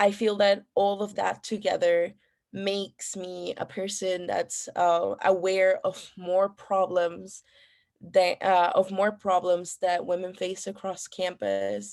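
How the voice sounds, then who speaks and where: On a very clean recording with a silent background, a woman with a Spanish accent speaks at medium pitch, very slowly, in a monotone with flat intonation. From Ecuador. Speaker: student election candidate. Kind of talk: debate Q&A answers. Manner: halting, many fillers.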